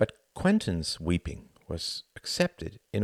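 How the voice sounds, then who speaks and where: Pitch swings very widely in a dry, close sound with no echo, on a very clean recording with a silent background. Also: man. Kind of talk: audiobook narration of a novel. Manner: measured, dry and ironic in the narration, with hushed, halting dialogue.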